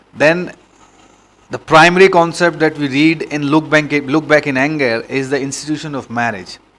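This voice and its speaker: Here a man speaks with fairly even intonation. His pitch sits fairly high. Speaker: exam coach. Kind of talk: tutorial. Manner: fast; halting.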